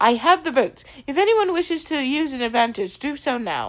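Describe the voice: In a put-on character voice with a British accent, a woman speaks high and fairly quickly, her pitch swinging very widely.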